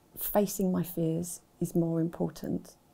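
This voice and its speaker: A woman speaks with a dark, mellow tone. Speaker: university staff member who stammers. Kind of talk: personal account and advice talk. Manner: stammer. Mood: calm, informative. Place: studio.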